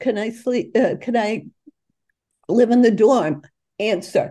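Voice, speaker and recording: In a Boston accent, the speaker goes at a fairly slow pace. The tone is dark and mellow. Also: woman. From Boston, North End (US Northeast). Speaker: author. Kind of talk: interview.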